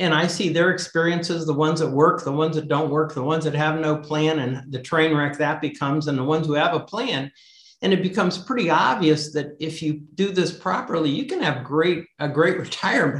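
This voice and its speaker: This man has a plain, everyday voice, fairly high in pitch with ordinary pitch variation. He talks at a fairly quick pace with hardly any pauses. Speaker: author. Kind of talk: casual interview.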